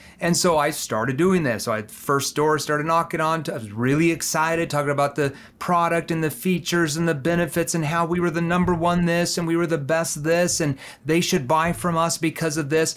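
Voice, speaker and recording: A man's fairly high voice with fairly even intonation and hardly any pauses, on a very clean recording with a silent background. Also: fairly quick pace. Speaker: sales trainer. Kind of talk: interview. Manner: calm.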